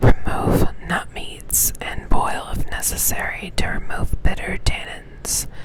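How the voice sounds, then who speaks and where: A woman whispering amid noticeable background noise. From Texas, USA. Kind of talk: ASMR reading aloud of a foraging pamphlet with casual asides. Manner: soft-spoken, whispered.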